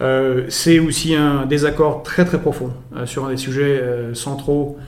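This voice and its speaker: A man's voice, fairly high in pitch, at a fairly slow pace with fairly even intonation. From born in Belgrade, Serbian father, French mother. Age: 40s. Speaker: presidential candidate. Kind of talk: political interview.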